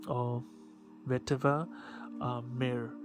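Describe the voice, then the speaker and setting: A non-native accent with music in the background. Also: man. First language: not English. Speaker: fragrance reviewer. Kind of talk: product review. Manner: halting, many fillers.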